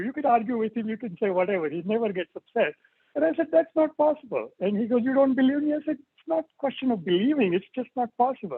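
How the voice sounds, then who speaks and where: Speaking in a Marathi accent, a man uses lively intonation at an extremely high pitch. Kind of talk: personal reminiscence at an online tribute. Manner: halting, with many fillers.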